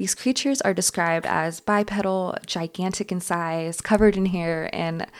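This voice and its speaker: In an American accent, a normal speaking voice talks at a moderate pace with fairly even intonation. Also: woman. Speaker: podcast host. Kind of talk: scripted-style solo podcast narration, explanatory storytelling. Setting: solo podcast recording. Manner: measured, informative documentary-style delivery, steady and clear; light, playful asides with laughter.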